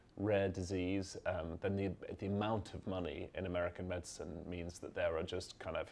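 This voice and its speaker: A man with a British accent, fairly low-pitched, at a fairly quick pace. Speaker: journalist. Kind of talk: panel discussion. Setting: event with live audience.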